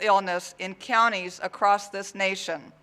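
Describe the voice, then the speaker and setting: Here the voice is raised and projected. It carries a bright, sharp tone. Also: man. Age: 60s. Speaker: sheriff. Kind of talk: prepared speech at press conference. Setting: press conference. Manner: formal.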